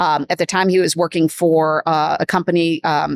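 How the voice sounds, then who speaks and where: A woman's fairly low voice in a Midwestern accent, flat and monotone, with a dry, close sound, no echo and a silent background on a very clean recording. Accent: Midwestern, noticeable vowels. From US Midwest. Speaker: business executive. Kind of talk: podcast interview.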